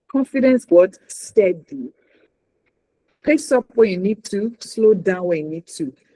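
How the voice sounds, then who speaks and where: The speaker, with a Nigerian accent, leaves long, frequent pauses. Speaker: news anchor and communication trainer. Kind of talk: workshop talk. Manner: animated.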